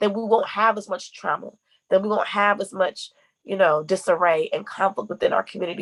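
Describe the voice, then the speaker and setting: A woman talks in an animated tone at a medium pitch. Her pace is fairly quick. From Connecticut (Bloomfield), moved to Memphis at 17. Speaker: brand manager and content creator. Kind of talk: podcast interview. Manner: fast talker.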